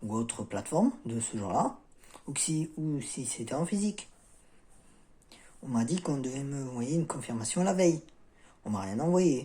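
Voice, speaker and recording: Here a man with a fairly high pitch and a dark, mellow tone speaks at a moderate pace. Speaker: self-help video creator. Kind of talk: casual vlog talk. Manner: halting, many fillers.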